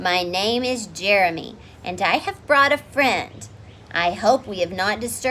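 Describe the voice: Lively intonation over plain reading aloud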